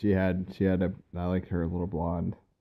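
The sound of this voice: A man speaks at a moderate pace with low pitch. His intonation is monotone and flat.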